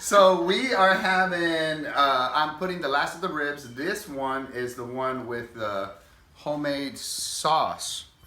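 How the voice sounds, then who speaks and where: A man speaks at a very slow pace, with a fairly high pitch and lively intonation. There is audible room echo along with noticeable background noise. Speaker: home cooking video host. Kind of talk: cooking tutorial. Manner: casual, loose.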